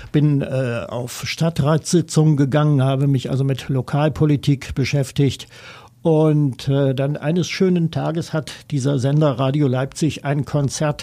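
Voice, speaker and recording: Very slowly, a man talks with a dark, mellow tone. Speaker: radio music journalist. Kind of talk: interview. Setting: studio.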